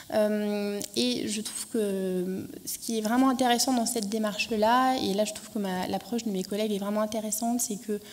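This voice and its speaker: Audible room echo surrounds a woman with a fairly high pitch who speaks at a moderate pace with fairly even intonation and hardly any pauses. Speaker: archaeologist presenting an education project. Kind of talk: conference talk. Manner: hesitant, many fillers.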